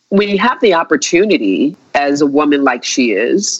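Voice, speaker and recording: A woman talks at a moderate pace with vocal fry. Her pitch swings very widely. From United States. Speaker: visual artist. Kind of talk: interview. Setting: remote call. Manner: halting, many fillers.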